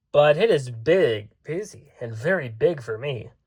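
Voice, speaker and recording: Using a put-on character voice, the speaker keeps a moderate pace. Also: man, fairly high pitch for a man. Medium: read story.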